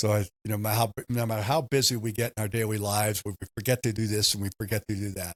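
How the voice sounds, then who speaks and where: With a fairly low pitch and an American accent, a man speaks at a very fast pace in a monotone, flat intonation, in a dry, close sound with no echo on a very clean recording with a silent background. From Southern California. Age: 60s. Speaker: baseball team owner. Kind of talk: podcast interview.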